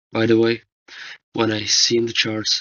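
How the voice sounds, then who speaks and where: Medium-pitched man's voice in a non-native accent, monotone with flat intonation. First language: not English. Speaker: forex trading analyst. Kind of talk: tutorial. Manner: halting.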